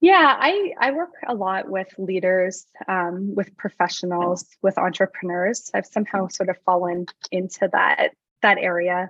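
Here is a woman with a normal speaking voice and a medium pitch. She talks at a fairly slow pace with fairly even intonation. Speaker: medical doctor. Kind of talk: casual interview chat.

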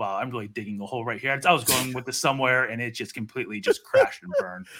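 With an American accent, a man talks at a fairly quick pace in a medium pitch, his tone bright and sharp and his intonation lively. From Pittsburgh, Pennsylvania. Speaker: podcaster and sports talk guest. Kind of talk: casual chat.

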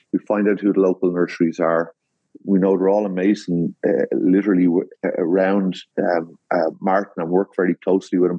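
A man speaks with an Irish accent. His pitch is very deep and low, and his intonation is monotone and flat. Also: moderate pace, very even loudness. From Ireland. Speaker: landscape designer. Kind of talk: interview. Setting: video call.

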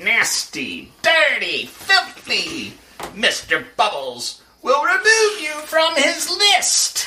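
This put-on character voice is extremely high in pitch and moves at a very slow pace. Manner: scolding.

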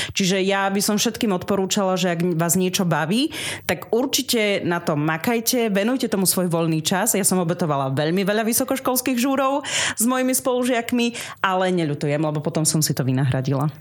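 Noticeable background noise sits behind a woman talking at a fairly quick pace. Her pitch is medium with very wide swings, while her loudness stays very even. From eastern Slovakia, Snina district, Rusyn village. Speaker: radio presenter and podcaster. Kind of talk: radio interview. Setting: radio studio.

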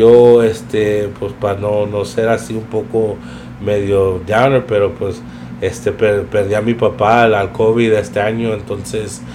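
A man speaks at a fairly slow pace in a fairly low, monotone, flat voice, with audible room echo and noticeable background noise. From East Los Angeles, US. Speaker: podcast guest, nonprofit volunteer. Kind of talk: casual chat.

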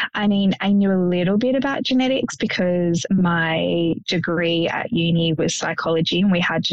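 Here is a woman with an Australian accent. Her voice sits fairly low in pitch. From Sydney, Australia. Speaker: police officer and genetics ambassador, bereaved mother. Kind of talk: casual interview, personal testimony.

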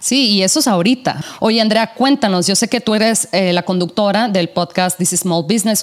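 A woman speaks with a strong northern Mexican accent at a medium pitch, with ordinary pitch variation. Her loudness stays very even, and there is noticeable background noise. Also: moderate pace, hardly any pauses. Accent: strong northern Mexican accent, sing-song. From northern Mexico. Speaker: podcast host. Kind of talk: casual interview. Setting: call.

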